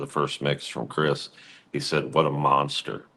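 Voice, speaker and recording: A man speaks at a moderate pace with a very deep, low pitch. His voice carries vocal fry. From US Midwest, Cincinnati. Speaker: rock singer. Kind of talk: interview. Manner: casual.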